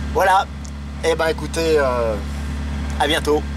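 Here a man is talking. Noticeable background noise is present. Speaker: solo road-trip vlogger. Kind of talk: casual vlog chat. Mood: cheerful, pleased. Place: car. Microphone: phone near.

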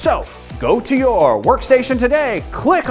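Over faint music, a man speaks fairly slowly in an extremely high voice with an upbeat, enthusiastic tone. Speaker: presenter. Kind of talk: infomercial-style promotional ad read. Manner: upbeat, enthusiastic, salesy. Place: studio. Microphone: lapel.

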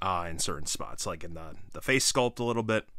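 Recorded dry with no echo in a quiet background, a man talks at a moderate pace in a bright, sharp tone with ordinary pitch variation. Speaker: toy reviewer. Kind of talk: casual product review commentary. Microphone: phone near.

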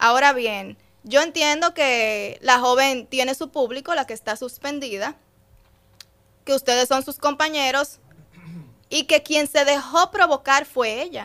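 A bright, sharp tone with ordinary pitch variation, set against a quiet background. The pace is fairly slow, broken by long, frequent pauses. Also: woman, high pitch for a woman. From Dominican Republic, Puerto Plata; Dominican Republic. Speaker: radio host. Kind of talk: casual chat. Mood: firm, explanatory. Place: studio. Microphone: studio mic.

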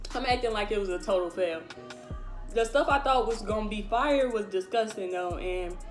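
Faint background music behind a woman talking at a moderate speed. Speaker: food taste-test vlogger. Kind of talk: casual vlog chat. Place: home room. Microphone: phone near.

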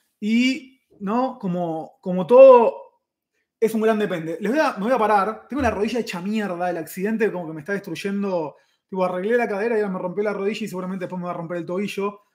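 A man speaks in a Rioplatense accent, his pitch high. He moves at a fairly quick pace. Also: quiet background. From Argentina. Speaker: chef and YouTuber; YouTuber. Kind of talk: live stream chat. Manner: casual, fast. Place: kitchen. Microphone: webcam.

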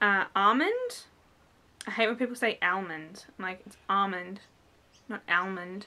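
In an Australian accent, a woman with a bright, sharp tone and medium pitch talks at a fairly slow pace, with ordinary pitch variation, big swings in loudness, and long, frequent pauses. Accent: thick Australian. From Australia, New South Wales. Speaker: beauty vlogger; vlogger. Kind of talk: vlog tag, reading word list. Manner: casual, many fillers. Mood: relaxed, lightly amused. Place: home room. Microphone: webcam.

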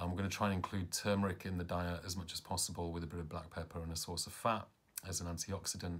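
A man with a British accent speaks very fast in a very deep, low voice, his intonation monotone and flat. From England. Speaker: caregiver of parent with Parkinson's. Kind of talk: vlog narration. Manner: hesitant, many fillers. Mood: calm, hopeful, a little tired. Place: home room. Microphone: phone near.

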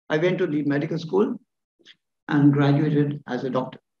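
There is audible room echo in this recording. A man talks at a moderate pace. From Sri Lanka. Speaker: professor of surgery. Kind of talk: lecture. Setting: stage with audience. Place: hall. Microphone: podium.

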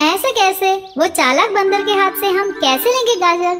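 Clear background noise sits behind a cartoonish character voice pitched extremely high and delivered at a moderate pace. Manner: skeptical, scolding.

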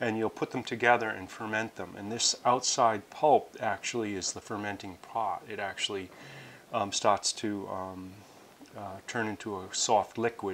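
A man speaks in a plain, everyday voice at a fairly low pitch. Light background noise sits behind him. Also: moderate pace. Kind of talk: tutorial.

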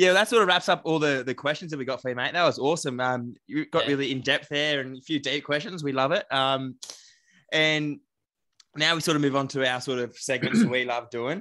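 With an Australian accent, a man speaks at medium pitch with ordinary pitch variation. His tone is bright and sharp. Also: quiet background. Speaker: podcast co-host. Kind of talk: casual chat.

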